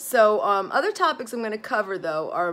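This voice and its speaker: A woman's plain, everyday voice at a moderate pace, with ordinary pitch variation. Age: 40s. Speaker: psychotherapist and vlogger. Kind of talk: casual vlog monologue. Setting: home office, filmed video. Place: home room. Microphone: phone near.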